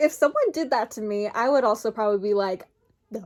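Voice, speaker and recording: Speaking with an American accent, a woman talks. Her pace is very fast. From Minnesota, USA. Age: 20s. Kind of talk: casual talk to camera.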